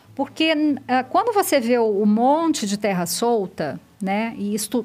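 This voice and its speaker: Her intonation is lively and her pitch high. The woman talks at a fairly slow pace. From Minas Gerais, Brazil. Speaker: biologist and research institute director. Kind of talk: podcast interview, explaining science.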